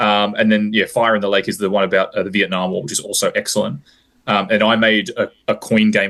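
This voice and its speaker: Against a quiet background, a man with an Australian accent speaks very fast. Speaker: high school teacher and war game designer. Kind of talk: interview. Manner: halting, with fillers and restarts.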